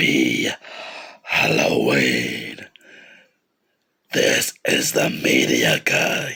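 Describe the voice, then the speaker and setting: A man uses a raspy, put-on character voice at a very slow pace. Long, frequent pauses break up his speech. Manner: scary.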